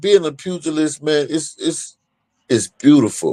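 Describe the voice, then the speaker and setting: A man talks at a fairly slow pace. His voice has a dark, mellow tone. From Ohio, US. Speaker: professional boxer. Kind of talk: casual interview chat.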